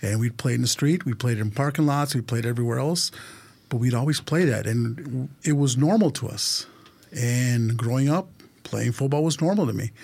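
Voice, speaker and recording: A man speaks at a moderate pace with a medium pitch and a dark, mellow tone. His voice is somewhat breathy, with ordinary pitch variation. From Los Angeles, California. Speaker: supporters group vice president. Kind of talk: casual chat. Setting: studio.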